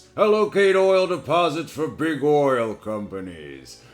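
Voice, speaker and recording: Using a put-on character voice, the speaker moves at a fairly slow pace with very wide pitch swings. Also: man. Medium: read story. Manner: smooth, polite.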